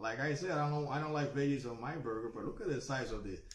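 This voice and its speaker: A man is speaking. The room echo is audible. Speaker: food reviewer. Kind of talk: casual vlog chat. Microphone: webcam.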